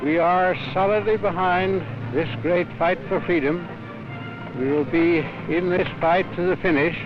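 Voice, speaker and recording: Over music in the background, a man with a high voice speaks at a fairly slow pace, with long, frequent pauses and very even loudness. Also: ordinary pitch variation. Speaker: prime minister. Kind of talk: political speech.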